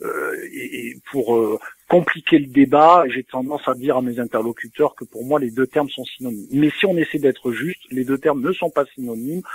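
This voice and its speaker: A man at a moderate pace in a Provençal accent, big swings in loudness, ordinary pitch variation, dry and close with no echo. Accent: southern French (Provence). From southern France, Toulon. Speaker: software company CEO. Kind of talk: interview.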